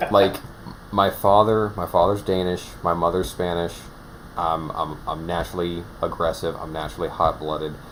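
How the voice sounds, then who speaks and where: Noticeable background noise sits behind a man with a very deep, low voice. He speaks at a moderate pace in a monotone, flat intonation. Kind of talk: casual chat. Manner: halting, many restarts.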